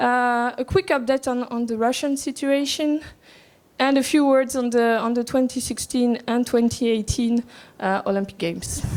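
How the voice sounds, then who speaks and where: A woman speaks with a high-pitched voice. Her pitch varies ordinarily and her pace is moderate. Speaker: anti-doping agency official. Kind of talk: conference presentation. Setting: conference room with audience. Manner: soft, not loud; halting, many fillers and repetitions.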